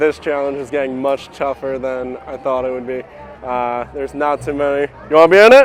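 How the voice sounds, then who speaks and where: The speech moves at a fairly quick pace with fairly even intonation and big swings in loudness, over noticeable background noise. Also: man, fairly high pitch for a man. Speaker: YouTuber vlogger. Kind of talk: casual vlog narration and street interview. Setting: outdoors at a shopping district.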